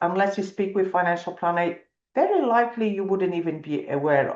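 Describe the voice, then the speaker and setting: Against a quiet background, a woman with a fairly low pitch and ordinary pitch variation speaks at a moderate pace. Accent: non-native. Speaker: financial planner. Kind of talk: webinar presentation. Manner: hesitant, many fillers.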